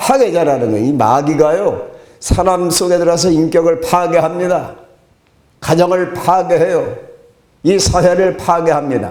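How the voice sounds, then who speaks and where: Audible room echo surrounds a man's high-pitched voice at a moderate pace. His loudness stays very even, with ordinary pitch variation. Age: 70s. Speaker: pastor. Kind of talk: sermon.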